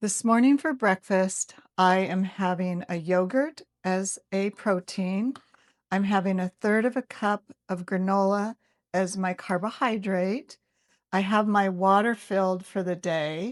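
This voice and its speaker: A woman speaks at a fairly slow pace in a normal speaking voice, with ordinary pitch variation. The sound is dry and close, with no echo. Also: medium pitch for a woman, very clean recording, silent background. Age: 60s. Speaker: fitness vlogger. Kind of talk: casual vlog. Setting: outdoors.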